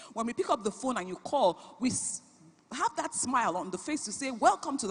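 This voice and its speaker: Speaking with a Nigerian accent, a woman sounds animated at a fairly high pitch. Her pitch swings very widely, and her pace is fairly quick. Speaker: business founder and CEO. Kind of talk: panel talk at a conference.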